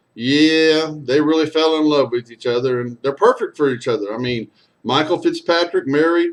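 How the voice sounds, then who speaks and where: Lively in intonation, a man talks at a moderate pace with a fairly high pitch. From Texas. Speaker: storyteller and singer. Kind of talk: casual storytelling monologue.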